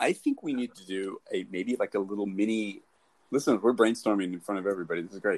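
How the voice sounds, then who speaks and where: This man talks at a very fast pace in a fairly low voice with ordinary pitch variation, and the sound is dry and close with no echo. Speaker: podcast host. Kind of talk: casual interview chat. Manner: casual, chatty.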